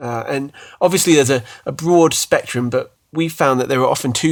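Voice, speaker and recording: A man with a British accent speaks at a fairly quick pace, medium in pitch with ordinary pitch variation. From UK. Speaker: podcast host, former worship pastor. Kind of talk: casual chat. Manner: hesitant, repeats words.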